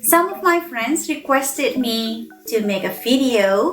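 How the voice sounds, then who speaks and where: A woman speaks at a very slow pace in a high voice, with very wide pitch swings. Music plays in the background. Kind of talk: casual talk to camera.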